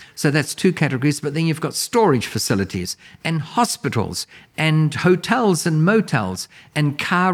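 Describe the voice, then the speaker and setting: Very wide pitch swings mark this moderate-paced voice in a New Zealand accent, captured in a very clean recording with a silent background. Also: man. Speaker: commercial real estate mentor. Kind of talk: educational interview chat.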